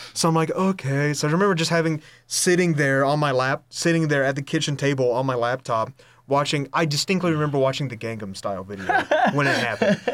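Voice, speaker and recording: A man with an American accent talks at a very fast pace, his fairly high voice moving with ordinary pitch variation. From North Carolina, Hudson/Lenoir area. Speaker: podcast host, college student. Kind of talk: casual chat.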